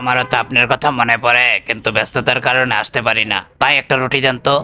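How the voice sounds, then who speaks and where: In a put-on character voice, a man speaks fairly quickly at a medium pitch. His intonation is monotone and flat, and his loudness stays very even. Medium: comedy sketch.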